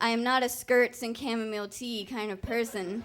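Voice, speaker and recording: A woman speaks in an ordinary speaking voice at a fairly high pitch. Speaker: storyteller. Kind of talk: live storytelling performance. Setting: live stage with audience. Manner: humorous, conversational.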